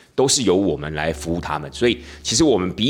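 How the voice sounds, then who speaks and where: Talking at a very fast pace, a man with a very deep, low pitch uses lively intonation. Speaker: tour leader and podcast host. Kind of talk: casual podcast monologue.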